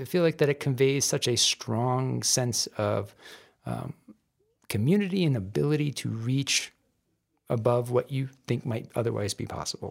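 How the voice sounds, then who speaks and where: Slowish and broken by long, frequent pauses, a man talks with an American accent. His pitch is medium, with ordinary variation. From Southeast Michigan. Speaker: criminal defense lawyer and bar association president. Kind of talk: interview. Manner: hesitant, many fillers and repeated words.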